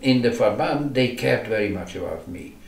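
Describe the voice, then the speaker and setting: With ordinary pitch variation, a man at a medium pitch speaks at a moderate pace amid audible room echo and noticeable background noise. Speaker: Holocaust survivor. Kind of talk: oral history interview. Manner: halting, many repetitions.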